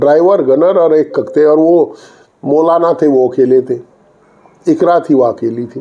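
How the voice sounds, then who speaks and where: Fairly high in pitch, a man talks in an ordinary speaking voice. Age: 60s. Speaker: politician. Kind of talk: interview.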